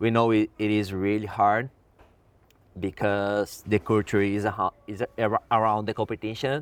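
A man with a Portuguese accent speaks fairly slowly in a fairly low, monotone, flat voice. The recording is very clean, silent in the background, with a dry, close sound and no echo. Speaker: free surfer and filmmaker. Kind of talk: interview.

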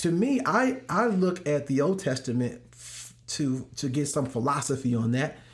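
A man's somewhat breathy, fairly high-pitched voice with an American accent, at a moderate pace with hardly any pauses and lively intonation. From US Midwest, St. Louis. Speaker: worship pastor. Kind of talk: casual interview.

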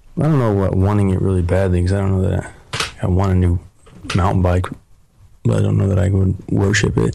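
A man with an American accent speaks at a very fast pace but with long, frequent pauses, his pitch very deep and low with ordinary variation. His loudness stays very even, and there is noticeable background noise. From Oregon, US. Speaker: model and country singer. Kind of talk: casual chat.

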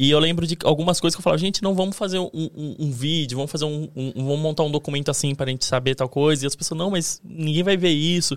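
Speaking at a very fast pace, a man uses a fairly high pitch for a man with ordinary pitch variation. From Brazil, interior of São Paulo state. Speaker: video editor. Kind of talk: casual chat.

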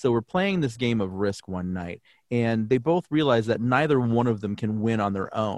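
The speaker uses lively intonation at a moderate pace in an American accent. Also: man, medium pitch for a man. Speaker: voiceover artist. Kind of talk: interview.

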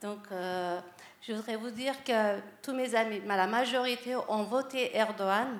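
Speaking at a very slow pace, a woman keeps a fairly high pitch and fairly even intonation. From France. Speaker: audience member. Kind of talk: audience question.

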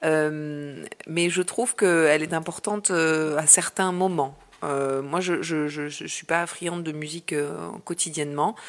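In a very deep, low voice, a woman talks at a very slow pace with hardly any pauses and fairly even intonation. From Marseille, southern France. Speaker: journalist. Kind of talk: interview. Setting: at her home.

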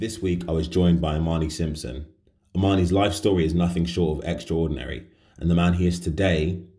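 The voice has a dark, mellow tone and is somewhat breathy, moving at a very fast pace with fairly even intonation. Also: man. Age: 20s. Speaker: podcast host. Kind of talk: casual interview chat; scripted intro and outro.

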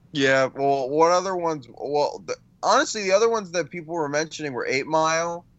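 A man talks at a fairly quick pace in a normal speaking voice, fairly high in pitch, with ordinary pitch variation. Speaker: movie podcast co-host.

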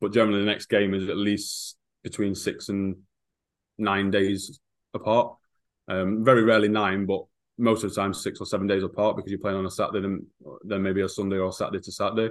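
A man with an English Midlands accent talks at a very fast pace and fairly low pitch, in a flat monotone. He makes long, frequent pauses against a quiet background. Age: 30s. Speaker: football strength and conditioning coach. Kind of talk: casual interview.

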